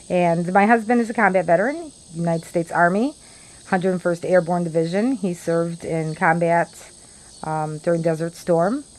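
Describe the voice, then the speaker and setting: With a Chicago accent, a woman speaks at a moderate pace. Her pitch varies in an ordinary way. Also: fairly low pitch for a woman. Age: 50s. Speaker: vlogger. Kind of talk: casual monologue.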